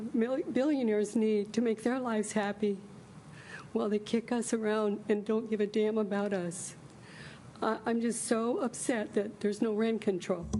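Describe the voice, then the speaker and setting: A woman speaks at a fairly high pitch and a moderate pace, her tone dark and mellow. Her loudness stays very even and her intonation fairly even. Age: 70s. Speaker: hairdresser speaking at public comment. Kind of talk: public comment at council meeting. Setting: city council meeting.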